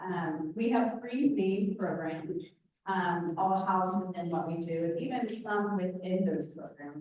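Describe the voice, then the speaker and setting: Speaking at a fairly slow pace, a woman uses a medium pitch with ordinary variation. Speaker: nonprofit dental clinic director. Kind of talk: presentation to a club meeting. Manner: loud.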